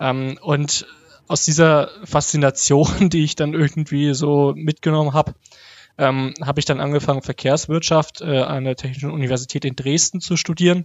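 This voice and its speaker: A man talks at a fairly high pitch and a moderate pace. His intonation is monotone and flat. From Germany, Hof (Upper Franconia, Bavaria). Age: 30s. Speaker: transport researcher and blogger. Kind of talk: interview. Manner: hesitant, many fillers.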